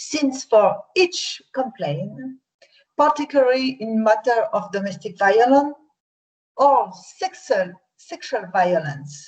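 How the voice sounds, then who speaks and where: A woman's fairly high voice with a French accent, very wide pitch swings, a very slow pace and long, frequent pauses. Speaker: victim support organisation head. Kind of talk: conference presentation. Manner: halting.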